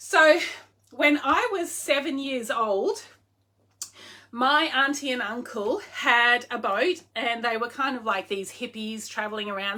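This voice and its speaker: This woman has an Australian accent and a high, bright, sharp voice. She speaks at a fairly slow pace, her pitch swinging very widely. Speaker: online clothing seller. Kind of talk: casual livestream chat. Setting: live video stream. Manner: animated.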